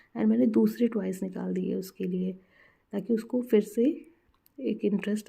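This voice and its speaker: Here is a woman speaking. Her pitch sits in the medium range. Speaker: mother. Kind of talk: casual parenting advice to camera.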